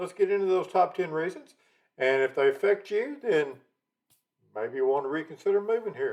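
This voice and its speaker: In a Texan accent, a high-pitched man speaks at a moderate pace with lively intonation. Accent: Texan, noticeable. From Texas, Dallas. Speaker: realtor, channel host. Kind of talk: casual talk to camera.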